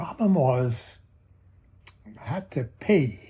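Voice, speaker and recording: The voice is somewhat breathy, with a dark, mellow tone. Its pitch swings very widely. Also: man. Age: 90s. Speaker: comedian and magician. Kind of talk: audition pitch. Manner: halting, many fillers.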